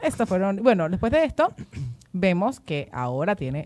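A woman's voice with a dark, mellow tone moves through very wide pitch swings. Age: 20s. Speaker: podcast co-host. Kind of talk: casual chat. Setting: studio.

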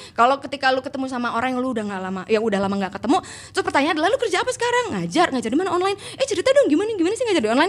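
A woman talks at a very fast pace in a high pitch with hardly any pauses and very wide pitch swings, while noticeable background noise sits behind her. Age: 30s. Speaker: English teacher and former radio announcer. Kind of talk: casual chat.

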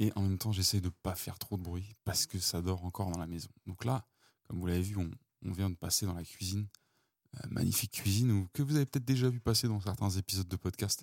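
A man talks at a very fast pace in a very deep, low pitch with ordinary pitch variation, and the sound is dry and close with no echo. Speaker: podcast host. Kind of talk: walking monologue. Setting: outdoors. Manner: hushed. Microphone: mic close to mouth.

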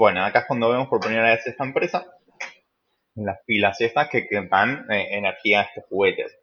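A man talks at a fairly quick pace with a bright, sharp tone. His pitch varies in an ordinary way. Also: medium pitch for a man. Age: 20s. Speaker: podcast host. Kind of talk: casual chat.

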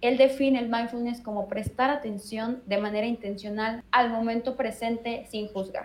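Fairly high in pitch, a woman speaks with a plain, everyday voice. Her pace is moderate and her intonation fairly even. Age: 20s. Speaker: meditation teacher. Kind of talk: interview.

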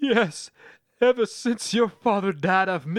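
The natural reading voice comes through over a quiet background.

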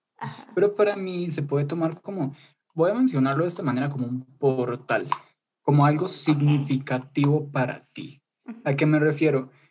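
Somewhat breathy speech at a moderate pace. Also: man, fairly high pitch for a man, ordinary pitch variation. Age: under 20 (19). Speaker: student. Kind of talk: casual chat. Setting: video call.

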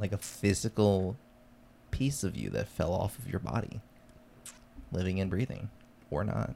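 Speaking with long, frequent pauses, a man uses a dark, mellow tone at a fairly low pitch, with vocal fry and ordinary pitch variation. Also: moderate pace. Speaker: podcast host. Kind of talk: casual chat.

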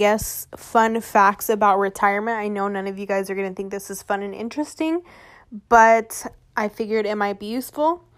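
With an American accent, a woman uses an ordinary speaking voice at a fairly high pitch, with ordinary pitch variation and a moderate pace. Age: 20s. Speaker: podcast host, entrepreneur. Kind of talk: casual monologue; reading aloud.

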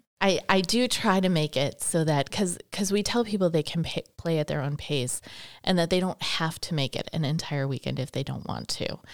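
Using an unremarkable speaking voice, a woman with a fairly low pitch talks at a moderate pace with ordinary pitch variation. The recording is very clean, with a silent background. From Wisconsin, Milwaukee area. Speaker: shop owner and event organizer. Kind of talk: casual interview. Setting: studio.

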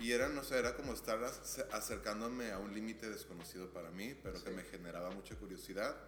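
Over audible room echo, a man with a fairly low pitch talks at a very fast pace. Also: ordinary pitch variation. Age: 30s. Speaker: podcast guest. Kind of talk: casual chat.

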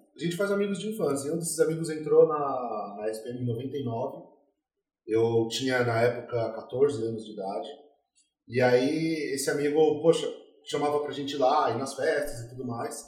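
A man with a fairly high voice speaks at a moderate pace with lively intonation and big swings in loudness, with audible room echo. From São Paulo, Brazil. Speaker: craft brewery co-founder. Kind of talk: casual chat.

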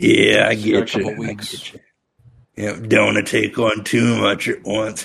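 A raspy, put-on character voice from a man, at a fairly slow pace. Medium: actual play. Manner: awkward, forced-casual, evasive.

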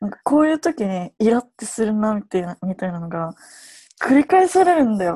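With a dark, mellow and somewhat breathy tone, a woman speaks fairly quickly at a fairly high pitch, her pitch swinging very widely and her loudness rising and falling sharply, in a dry, close sound with no echo. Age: 20s. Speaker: dancer and choreographer. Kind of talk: casual chat. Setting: video call.

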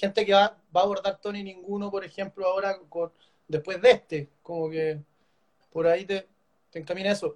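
Dry and close with no echo, a man's high voice comes through at a moderate pace. His intonation stays fairly even. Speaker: author and editor interviewer. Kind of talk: live online book launch interview. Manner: halting, many repetitions.

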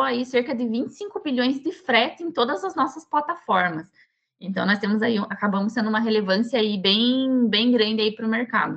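Pitched fairly high, this woman talks in an unremarkable speaking voice. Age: 20s. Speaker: chemical engineering student and tech team lead. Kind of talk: podcast interview.

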